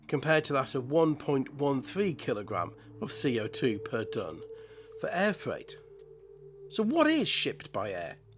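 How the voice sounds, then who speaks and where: A man speaks with long, frequent pauses while music plays in the background. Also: moderate pace. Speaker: model-building channel host. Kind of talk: scripted narration. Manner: halting, with repeated words.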